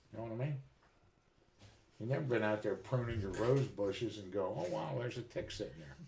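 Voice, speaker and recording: A man with a fairly low pitch and vocal fry speaks at a fairly quick pace with lively intonation, broken by long, frequent pauses. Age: 60s. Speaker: live streamer, military veteran. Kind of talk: casual chat.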